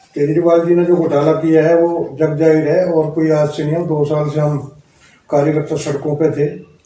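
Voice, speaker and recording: A man with a fairly high voice talks at a moderate pace in a monotone, flat intonation. Audible room echo is present. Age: 60s. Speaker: local party politician. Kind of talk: interview.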